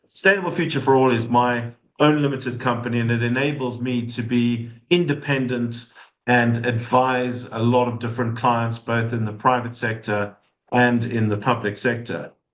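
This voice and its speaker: In a medium pitch, a man speaks with fairly even intonation. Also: moderate pace. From South Africa, Johannesburg. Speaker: sustainability consultant. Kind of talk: webinar talk. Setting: online session with chat.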